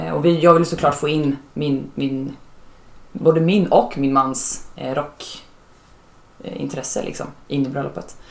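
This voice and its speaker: Long, frequent pauses at a fairly slow pace. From Norrköping, Sweden. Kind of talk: casual family conversation.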